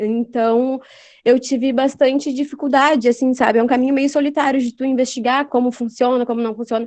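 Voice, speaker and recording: The woman's pitch is high and her intonation monotone and flat. She talks at a fairly quick pace. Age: 20s. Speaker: journalist. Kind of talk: interview.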